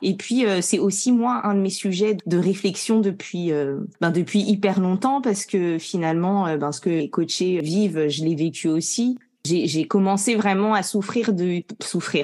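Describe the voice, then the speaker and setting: A woman talks with hardly any pauses and ordinary pitch variation. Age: 30s. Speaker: professional coach and trainer. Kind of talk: podcast interview. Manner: hesitant, many fillers.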